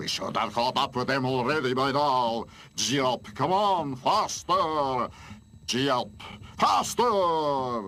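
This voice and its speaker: A put-on character voice from a man, medium in pitch and fairly slow in pace. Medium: fan dub. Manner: snappish, insulting.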